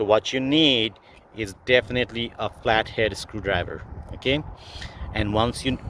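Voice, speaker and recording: A man with a non-native accent at a moderate pace, long, frequent pauses and noticeable background noise. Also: medium pitch for a man, ordinary pitch variation. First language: not English. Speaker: car DIY video maker. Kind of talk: tutorial. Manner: halting, many fillers.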